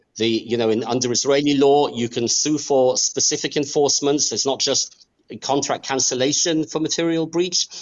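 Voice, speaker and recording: This man has a fairly high pitch and an English accent. His intonation is lively and his pace fairly quick. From Australia and England. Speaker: real estate lawyer. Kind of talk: interview.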